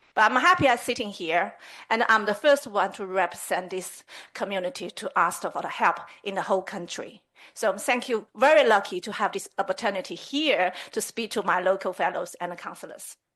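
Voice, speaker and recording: At a moderate pace, a woman talks in a bright, sharp tone with a medium pitch and ordinary pitch variation. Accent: Chinese. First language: Chinese. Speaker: community representative addressing a town council. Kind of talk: public address at council meeting. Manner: halting.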